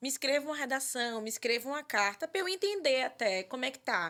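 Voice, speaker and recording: A woman's fairly quick speech with lively intonation, an ordinary speaking voice, on a very clean recording with a silent background. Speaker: psychologist and podcast host. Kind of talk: podcast conversation.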